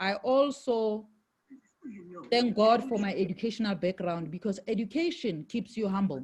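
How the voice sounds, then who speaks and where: A woman at medium pitch speaks at a moderate pace, somewhat breathy, with lively intonation. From South Africa, Johannesburg. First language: Shangaan (Xitsonga). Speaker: network marketing leader, former IT executive. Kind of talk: interview.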